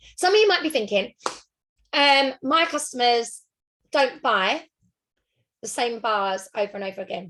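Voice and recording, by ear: Her tone fairly bright, a woman speaks at a moderate pace with a fairly high pitch. Her intonation is lively.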